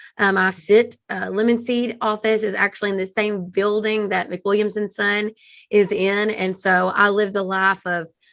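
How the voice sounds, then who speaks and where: A woman with a Texan accent at a medium pitch and a moderate pace, her intonation monotone and flat. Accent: Texan Southern. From East Texas, US South. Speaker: marketing agency founder. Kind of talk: interview podcast.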